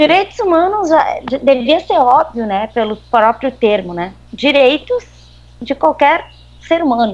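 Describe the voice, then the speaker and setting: In a southern Brazilian accent, a woman with a high pitch speaks at a fairly slow pace, her pitch swinging very widely. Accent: gaúcho Brazilian Portuguese. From southern Brazil (Rio Grande do Sul). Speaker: human rights advocate. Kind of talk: interview.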